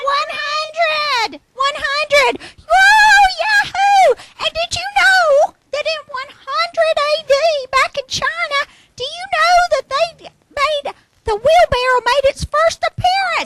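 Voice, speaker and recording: A woman puts on a squeaky character voice at an extremely high pitch and speaks at a fairly slow pace, with a dry, close sound and no echo. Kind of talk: comic overacting. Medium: stage play. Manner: excited, rambling, laughing a lot.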